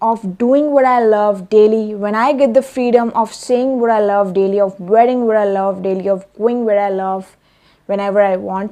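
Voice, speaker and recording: A woman with a non-native accent speaks at a moderate pace, her fairly high voice dark and mellow, with ordinary pitch variation. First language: not English. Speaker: self-help vlogger. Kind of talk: vlog monologue. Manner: hesitant with fillers.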